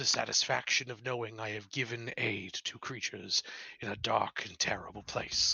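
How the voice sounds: Using a put-on character voice, a man booms out his words. His pitch is medium and his pace moderate.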